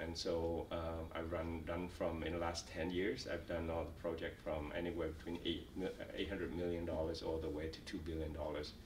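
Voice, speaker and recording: Speaking at a moderate pace in a Vietnamese accent, a man with a very deep, low pitch keeps a monotone, flat intonation amid noticeable background noise and audible room echo. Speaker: refugee, company executive. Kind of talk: oral history interview. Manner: halting, many fillers and repetitions.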